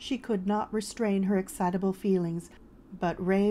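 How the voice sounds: This is a natural reading voice. Its intonation stays fairly even.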